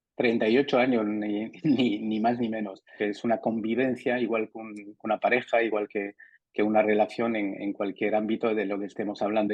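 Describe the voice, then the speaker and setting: This man's intonation is monotone and flat, his pitch fairly low. He moves at a moderate pace. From France, Spanish parents from León. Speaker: interviewee sharing work experience. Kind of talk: interview. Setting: studio. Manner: halting, many repetitions.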